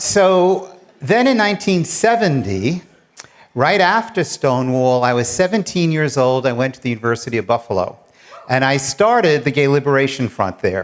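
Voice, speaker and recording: Here a man with a New York accent speaks at a fairly high pitch. He keeps a moderate pace with very wide pitch swings. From New York City, Queens. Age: 70s. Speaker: retired attorney and professor, storyteller. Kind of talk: personal storytelling on stage. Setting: stage with large audience.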